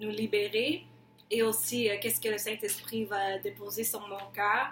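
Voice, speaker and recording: A woman's fairly high, monotone, flat voice in an English accent, very slow pace, with noticeable background noise. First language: English (speaking French). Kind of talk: testimony. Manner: halting.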